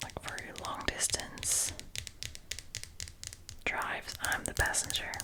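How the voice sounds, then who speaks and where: Whispering comes at a very slow pace with long, frequent pauses and noticeable background noise. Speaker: ASMR creator. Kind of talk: ASMR this-or-that answers, casual talk. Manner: whispered, soft-spoken.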